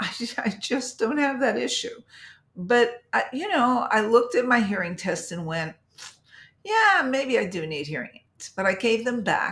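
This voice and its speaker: A woman speaks at a high pitch. The recording is very clean, with a silent background. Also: big swings in loudness. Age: 70s. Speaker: health vlogger. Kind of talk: live stream talk. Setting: live stream. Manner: casual, hesitant with fillers.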